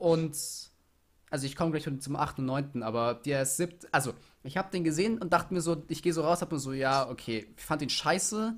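In a very clean recording with a silent background, a man with a normal speaking voice talks at a fairly quick pace, his fairly high pitch showing ordinary pitch variation. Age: young. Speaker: podcast co-host. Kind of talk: casual chat.

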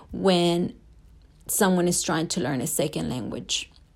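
A Spanish accent in a very clean recording with a silent background. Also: woman. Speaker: student. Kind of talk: class assignment podcast, reading prepared remarks. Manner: hesitant, with frequent fillers.

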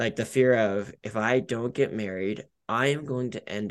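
A man speaks with an American accent at a moderate pace, in a plain, everyday voice. His pitch varies in an ordinary way, and the background is quiet. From Colorado, Denver. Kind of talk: casual interview chat.

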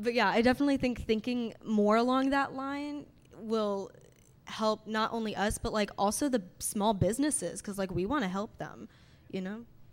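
Her voice fairly high in pitch, a woman with an American accent speaks in a normal speaking voice at a moderate pace with ordinary pitch variation. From Indiana. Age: 20s. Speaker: singer-songwriter, college student. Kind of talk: panel discussion. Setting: stage with audience.

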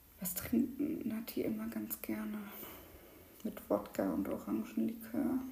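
Fairly slow speech with long, frequent pauses and audible room echo. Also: woman. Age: 20s. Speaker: podcast co-host, lab chemist. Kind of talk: casual chat. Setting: at home at the dining table.

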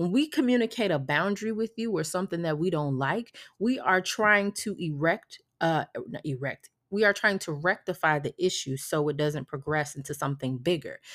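A woman talks in a plain, everyday voice at a moderate pace, her pitch fairly low and her intonation lively. The recording is very clean with a silent background. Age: 30s. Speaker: spiritual wellness coach and podcast host. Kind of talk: casual solo monologue.

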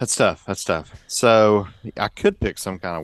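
A man with a Southern US accent, monotone and flat at a moderate pace, in a dry, close sound with no echo. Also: very clean recording, silent background. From Georgia, US. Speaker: pastor and podcast co-host. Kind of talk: casual chat.

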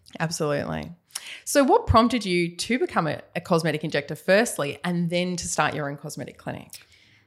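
Speaking at a fairly quick pace, a woman with an Australian accent uses a fairly low pitch, vocal fry, lively intonation and big swings in loudness. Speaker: nurse and cosmetic injector, podcast host. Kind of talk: casual interview chat. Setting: studio, video podcast.

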